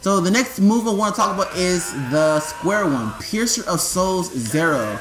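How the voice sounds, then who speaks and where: Over noticeable background noise and audible room echo, a man speaks at a high pitch with very wide pitch swings and very even loudness. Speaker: gaming YouTuber. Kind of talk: game tutorial. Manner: stuttering; casual, filler-heavy.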